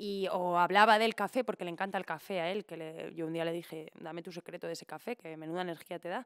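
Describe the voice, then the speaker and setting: A woman at a fairly quick pace against a quiet background. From Spain, Valencia region. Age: 30s. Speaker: impressionist and poet; podcast guest. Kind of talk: casual chat. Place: studio. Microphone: studio mic.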